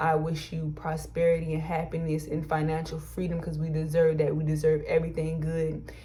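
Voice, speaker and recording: Amid audible room echo, a woman with a very deep, low voice talks in an animated tone, somewhat breathy and at a fairly quick pace. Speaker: YouTuber and small business co-owner. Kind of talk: personal advice vlog. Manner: fast when excited.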